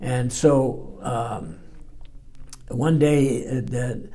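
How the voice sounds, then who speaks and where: The voice has a dark, mellow tone, is somewhat breathy, and keeps fairly even intonation, with audible room echo. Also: man. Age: 80s+. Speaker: war veteran. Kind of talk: testimony. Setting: library interview. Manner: halting.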